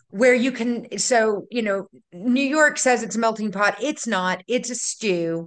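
Very slow speech with ordinary pitch variation. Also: woman, fairly high pitch for a woman. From North Louisiana, raised in Baton Rouge. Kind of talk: casual chat. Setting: video call.

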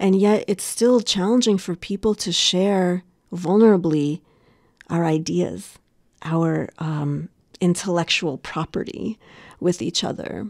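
A woman with a plain, everyday voice speaks fairly slowly at a fairly low pitch with ordinary pitch variation, the sound dry and close with no echo on a very clean recording with a silent background. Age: 40s. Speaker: coach and facilitator. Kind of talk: interview.

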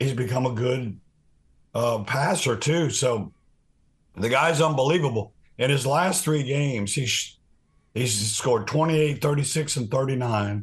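Man at medium pitch, somewhat breathy, with very even loudness and ordinary pitch variation, a fairly slow pace, long, frequent pauses, and a quiet background. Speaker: sports podcast co-host. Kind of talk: casual sports chat.

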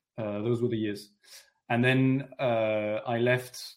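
A man's medium-pitched voice with a French accent and monotone, flat intonation. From France, raised in London. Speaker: essayist and author. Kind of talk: interview.

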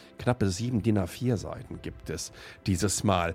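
A man's voice with music in the background. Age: 50s. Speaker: tech podcast host. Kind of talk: solo commentary podcast. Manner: animated.

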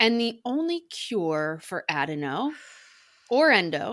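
There's an American accent in this woman's speech. Her pitch rises and falls very widely. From US. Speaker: guest, health advocate. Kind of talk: interview conversation. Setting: video call recording.

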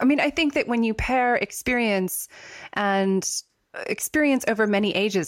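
Her intonation lively, a woman talks at a moderate pace in an unremarkable speaking voice. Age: 40s. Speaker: podcast host and writer. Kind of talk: casual chat.

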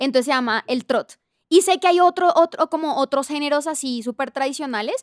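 A woman's high-pitched voice with ordinary pitch variation, in a very clean recording with a silent background and a dry, close sound with no echo. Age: 30s. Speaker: audio content operations coordinator. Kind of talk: casual chat.

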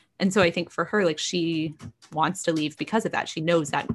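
On a very clean recording with a silent background, a woman with an American accent speaks in a normal speaking voice at a moderate pace, her pitch fairly low and her intonation fairly even. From Texas. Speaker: novelist and features writer. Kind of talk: casual interview chat.

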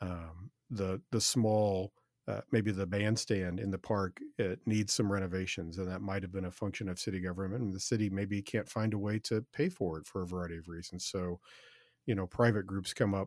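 A normal speaking voice at a moderate pace, fairly even intonation, on a very clean recording with a silent background and a dry, close sound with no echo. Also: man. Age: 50s. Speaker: podcast host. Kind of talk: casual interview chat. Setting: studio.

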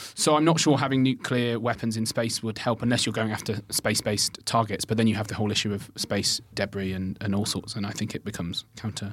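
A medium-pitched man talks very fast with hardly any pauses and fairly even intonation against noticeable background noise. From Birmingham, England. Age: 20s. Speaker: comedian. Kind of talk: casual chat.

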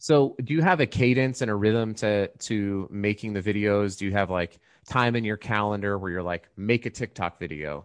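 A man with a plain, everyday voice speaks at a moderate pace in a fairly low pitch, with ordinary pitch variation, hardly any pauses, a quiet background and a dry, close sound with no echo. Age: 40s. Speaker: podcast host. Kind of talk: casual interview.

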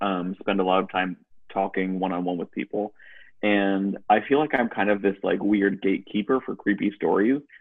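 A man with an American accent, an ordinary speaking voice, a fairly low pitch and a moderate pace. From US New England, western Massachusetts. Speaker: tarot reader. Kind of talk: casual chat.

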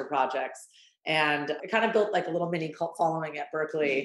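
A woman talks at a fairly quick pace with ordinary pitch variation. Hers is an unremarkable speaking voice. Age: 30s. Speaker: ice cream company founder. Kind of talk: interview.

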